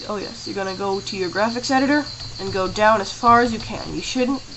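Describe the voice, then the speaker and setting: A woman is talking, and noticeable background noise can be heard. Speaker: tutorial maker. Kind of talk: screen-recorded software tutorial. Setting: home camera microphone.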